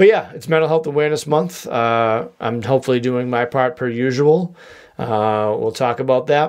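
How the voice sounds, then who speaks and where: A man's medium-pitched speech with a Boston accent, moderate pace and ordinary pitch variation. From US Northeast, Boston area. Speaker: podcast host. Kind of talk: casual solo podcast monologue. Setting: home studio with microphone. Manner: jokey, rambling.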